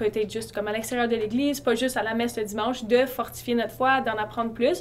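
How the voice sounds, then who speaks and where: Words come out at a very fast pace, the intonation staying fairly even. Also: woman. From eastern Ontario, Canada. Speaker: university student. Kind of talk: casual interview.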